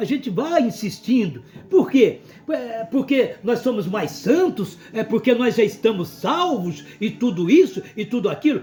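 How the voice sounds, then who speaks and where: Here a man speaks very slowly at a high pitch. His voice swings very widely in pitch. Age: 60s. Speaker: pastor. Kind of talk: sermon. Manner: animated.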